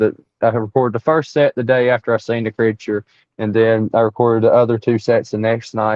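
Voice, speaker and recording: With an Appalachian accent, a man talks at a fairly quick pace and medium pitch. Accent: Southern US (Appalachian). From East Tennessee. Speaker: Bigfoot researcher. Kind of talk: interview storytelling. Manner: animated, repetitive false starts.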